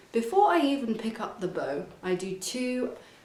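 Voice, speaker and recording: A woman speaks at a fairly slow pace. Audible room echo and noticeable background noise come through. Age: young. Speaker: violin teacher. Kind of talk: tutorial. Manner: casual, with fillers and restarts.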